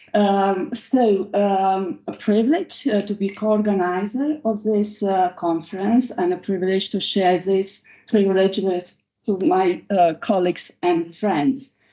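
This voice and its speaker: A woman with a Romanian accent, medium pitch, ordinary pitch variation and a fairly slow pace. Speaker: law professor. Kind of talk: conference speech. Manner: halting.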